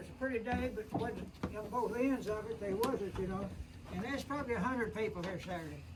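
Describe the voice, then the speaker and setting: A man with an Ozark accent talks fairly quickly in a high pitch with ordinary pitch variation, with audible room echo and noticeable background noise. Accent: rural Ozark Southern US. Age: 90s. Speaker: elderly cabin owner. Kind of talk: casual chat.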